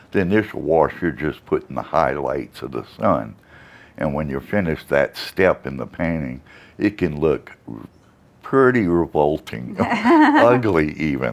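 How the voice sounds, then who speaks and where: Using vocal fry, a man with a very deep, low voice talks at a fairly slow pace with lively intonation. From Louisiana. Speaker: watercolor artist. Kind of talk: interview answer.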